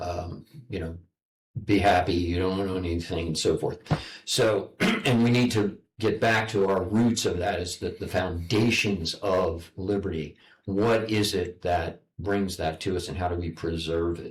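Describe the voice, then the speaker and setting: Very deep and low, a man's somewhat breathy voice with an American accent moves at a fairly slow pace with fairly even intonation. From United States. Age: 70s. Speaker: online broadcast host. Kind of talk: interview. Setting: public library. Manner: halting, repeats words.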